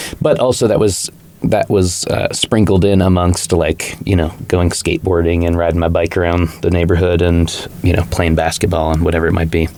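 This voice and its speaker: Over noticeable background noise, a man speaks at a fairly quick pace in a very deep, low pitch, with monotone, flat intonation and very even loudness. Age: 30s. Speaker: recovering alcoholic, punk musician. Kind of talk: podcast interview. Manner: casual, many fillers like 'like' and 'you know'.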